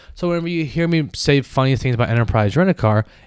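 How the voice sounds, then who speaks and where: A plain, everyday voice comes from a man at medium pitch with lively intonation. The recording is very clean, with a silent background. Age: 30s. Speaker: sports podcast host. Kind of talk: solo podcast monologue. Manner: casual, rambling with fillers.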